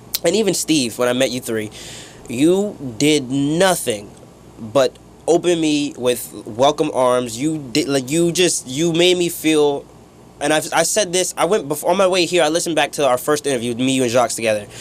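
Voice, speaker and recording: A man speaks at a moderate pace with a fairly high pitch. His pitch varies in an ordinary way over noticeable background noise. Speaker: radio intern and show host. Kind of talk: emotional farewell interview. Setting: radio studio. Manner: halting.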